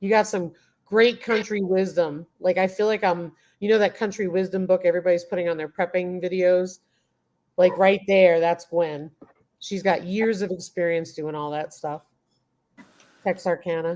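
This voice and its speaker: With an American accent, a woman of medium pitch speaks at a moderate pace with fairly even intonation and long, frequent pauses. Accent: slight New York, comes out occasionally. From Queens, New York. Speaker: homesteading YouTuber, guest. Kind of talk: casual live chat.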